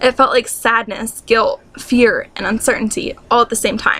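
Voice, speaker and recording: A woman speaks at a moderate pace amid noticeable background noise. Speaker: student. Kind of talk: reading own essay aloud. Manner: stuttering, awkward pauses.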